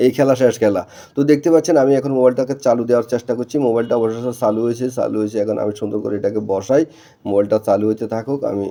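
Pitched at a medium level with ordinary variation, a man speaks in an ordinary speaking voice. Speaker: mobile phone repair technician. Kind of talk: repair tutorial. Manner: casual, conversational.

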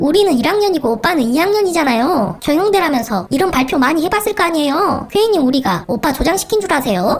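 A cartoonish character voice at a very fast pace. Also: female-sounding voice, high pitch for a woman. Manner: annoyed, demanding.

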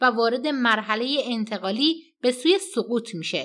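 A woman speaks at a fairly slow pace in a bright, sharp tone, fairly high in pitch. The recording is very clean, with a silent background. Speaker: political news commentator. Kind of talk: news commentary.

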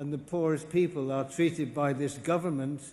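A man speaks at a moderate pace with a fairly high pitch. His voice is somewhat breathy, with fairly even intonation. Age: 80s+. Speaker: film director. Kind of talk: award acceptance speech.

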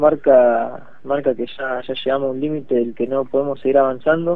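Here a man with a fairly high pitch speaks in a monotone, flat intonation. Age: 20s. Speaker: local politician. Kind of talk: radio interview.

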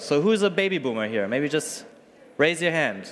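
A man's voice over light background noise. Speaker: startup co-founder and executive. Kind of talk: conference presentation. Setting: stage with audience. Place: hall.

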